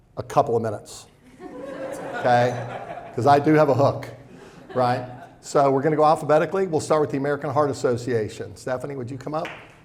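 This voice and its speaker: Noticeable background noise lies behind a man who speaks at a very fast pace yet with long, frequent pauses, his fairly high pitch showing ordinary variation. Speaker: financial advisor. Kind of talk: seminar presentation. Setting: event room with live audience.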